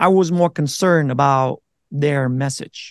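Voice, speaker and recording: A man speaks with a Vietnamese accent and ordinary pitch variation. The sound is dry and close with no echo, over a quiet background. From Vietnam, then Minnesota from age 12. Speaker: navy veteran and content creator. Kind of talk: casual interview.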